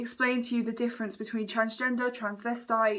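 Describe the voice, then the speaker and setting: A woman with a British accent, her pitch fairly high and her intonation fairly even. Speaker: makeup vlogger. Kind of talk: get-ready-with-me vlog chat. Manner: stutters, halting.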